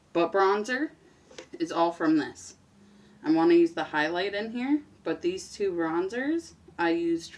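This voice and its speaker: A woman's medium-pitched voice with very wide pitch swings, a fairly slow pace and noticeable background noise. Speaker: beauty vlogger. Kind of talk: casual makeup tutorial chat. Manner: casual, chatty.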